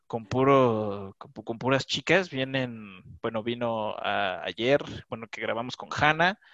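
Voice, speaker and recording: Over a quiet background with a dry, close sound and no echo, a man speaks fairly slowly at a medium pitch with ordinary pitch variation. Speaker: podcast host. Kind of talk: casual chat.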